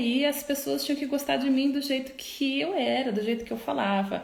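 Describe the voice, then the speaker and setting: A soft-spoken woman talks in a high pitch with lively intonation. Audible room echo surrounds her voice. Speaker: psychologist. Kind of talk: live stream talk. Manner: slow.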